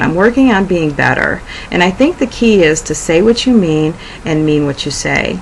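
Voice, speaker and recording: Over noticeable background noise, a woman with a fairly low pitch talks with lively intonation. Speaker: video blogger. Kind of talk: personal reflection monologue. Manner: halting, frequent 'um' fillers.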